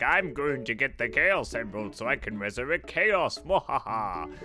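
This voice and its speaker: A man performs a cackling put-on character voice at a medium pitch with very wide pitch swings. He talks at a moderate pace over clear background noise. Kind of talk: comic parody recap. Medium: game stream. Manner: gloating, villainous cackle.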